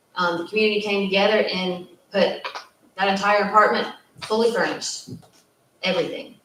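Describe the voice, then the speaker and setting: A woman speaks with fairly even intonation. Room echo is audible around her voice. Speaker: youth housing social worker. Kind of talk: panel discussion. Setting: community meeting at a church.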